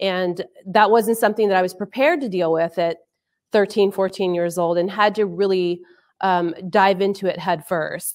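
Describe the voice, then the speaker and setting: A woman speaks with an American accent at a moderate pace. Her intonation stays fairly even over a quiet background. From Arizona. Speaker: army sergeant major, intelligence professional. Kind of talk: panel discussion. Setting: virtual online event. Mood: reflective, personal story. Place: office. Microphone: video call.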